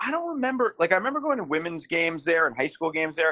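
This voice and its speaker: A man speaks with an American accent in a bright, sharp tone. The sound is dry and close, with no echo. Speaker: sports fan and social media personality. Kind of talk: casual chat.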